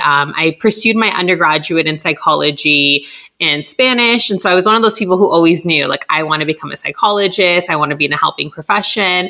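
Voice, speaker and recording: A woman talks with a Californian accent and a bright, sharp tone. Her pace is fairly quick, and her intonation is lively. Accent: Californian American English. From Southern California (Los Angeles). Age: 30s. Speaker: clinical psychologist. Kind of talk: interview, casual advice chat.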